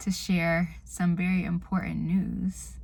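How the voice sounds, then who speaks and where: Soft-spoken, a woman talks at a very slow pace. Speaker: vlogger. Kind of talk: casual vlog. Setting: in a car.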